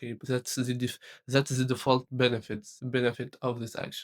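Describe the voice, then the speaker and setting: A non-native accent at a moderate pace, in a dry, close sound with no echo. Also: man. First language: not English. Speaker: tech content creator. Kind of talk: motivational talk to camera. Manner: halting, many repetitions and fillers.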